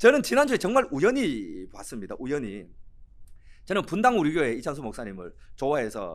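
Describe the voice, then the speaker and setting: Vocal fry runs through this man's speech as his pitch swings very widely. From Korea, Cheongsong (North Gyeongsang). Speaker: pastor. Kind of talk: sermon. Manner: animated.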